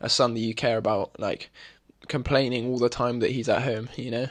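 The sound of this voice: A man talks at a medium pitch and a moderate pace. His intonation stays fairly even.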